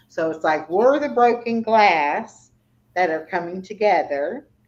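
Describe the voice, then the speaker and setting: Speaking at a fairly slow pace, this is a normal speaking voice. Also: woman. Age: 60s. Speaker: YouTuber. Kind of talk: casual chat. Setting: livestream.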